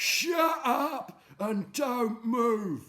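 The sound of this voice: In a put-on character voice with a fairly high pitch, the speaker is shouting.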